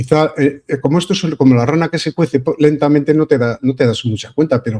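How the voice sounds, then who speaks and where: A dark, mellow voice talks fairly quickly, its pitch varying in an ordinary way. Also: man. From Spain, Vitoria (Basque Country). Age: 70s. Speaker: online radio/video show host. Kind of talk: casual political discussion. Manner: hesitant, with fillers.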